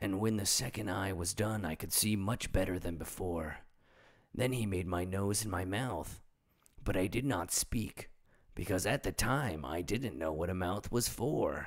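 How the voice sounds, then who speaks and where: Putting on a raspy character voice, a man speaks at a moderate pace with a fairly low pitch and ordinary pitch variation. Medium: read story. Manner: simple, earnest.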